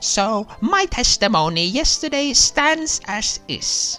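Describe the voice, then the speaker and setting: Over faint background music, a man does a put-on character voice at an extremely high pitch, swinging very widely in pitch and speaking at a fairly slow pace. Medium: game stream. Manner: ungrammatical, mumbling.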